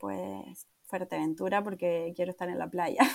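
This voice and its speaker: A woman speaks in a Canarian accent. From Canary Islands, Tenerife. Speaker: travel planner. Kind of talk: interview.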